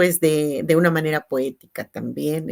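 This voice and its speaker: The speaker is a woman, talking neither fast nor slow. The audio is very clean and the background is silent. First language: Tzeltal (speaking Spanish). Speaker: teacher and translator. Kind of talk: panel discussion. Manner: halting.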